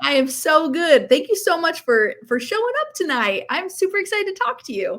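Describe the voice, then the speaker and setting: An upbeat woman's voice at an extremely high pitch, with very wide pitch swings, a fairly quick pace and hardly any pauses. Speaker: preschool business coach. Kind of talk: interview host, casual video call.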